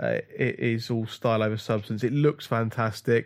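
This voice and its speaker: Recorded very cleanly against a silent background, a man speaks at medium pitch with fairly even intonation. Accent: British. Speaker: podcast co-host. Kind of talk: casual chat.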